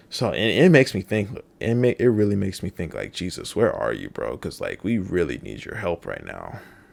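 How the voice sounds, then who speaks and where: At a moderate pace, a man speaks on a very clean recording with a silent background. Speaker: podcast host. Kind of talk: solo podcast monologue. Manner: halting, repeats words.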